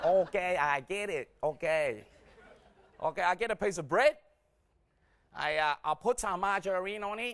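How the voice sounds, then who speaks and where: A man is speaking in an animated tone. His pace is moderate. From Vietnam, raised in Australia from 1975. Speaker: stand-up comedian. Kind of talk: stand-up. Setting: stage with audience.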